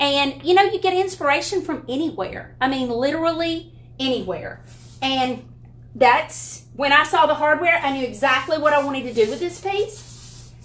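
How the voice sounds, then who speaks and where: With a strong Southern US accent, a woman talks in a high voice with lively intonation. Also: moderate pace. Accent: thick Southern US. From Alabama. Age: 50s. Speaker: furniture painting YouTuber. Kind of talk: tutorial. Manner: casual, chatty.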